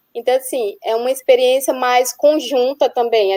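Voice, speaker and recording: In a strong northeastern Brazilian accent, a woman speaks at a high pitch and a moderate pace, her tone dark and mellow and the sound dry and close with no echo. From Northeast Brazil. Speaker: nurse researcher abroad. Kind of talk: webinar panel talk. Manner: halting.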